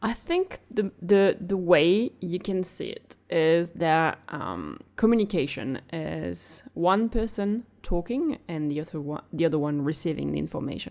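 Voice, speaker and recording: A woman's fairly low voice with a French accent, lively intonation, a fairly slow pace and hardly any pauses. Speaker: podcast co-host. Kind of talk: casual chat.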